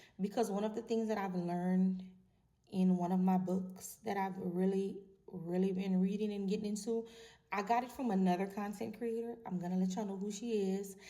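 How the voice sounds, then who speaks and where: A woman talks at a fairly quick pace in a medium-pitched, dark, mellow tone with monotone, flat intonation. Room echo is audible. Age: 40s. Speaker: vlogger. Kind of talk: casual monologue to camera.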